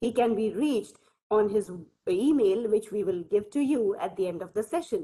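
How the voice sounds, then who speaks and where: Over a quiet background, a woman with a fairly high pitch and a dark, mellow tone speaks at a moderate pace with ordinary pitch variation. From India. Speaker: university lecturer, co-organiser. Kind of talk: formal speaker introduction. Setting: video call. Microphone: video call.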